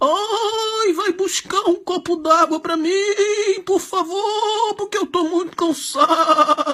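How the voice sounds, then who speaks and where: In a whiny put-on character voice at an extremely high pitch, the speaker goes very slowly, with a whiny tone and hardly any pauses. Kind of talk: mocking. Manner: affected; exaggerated.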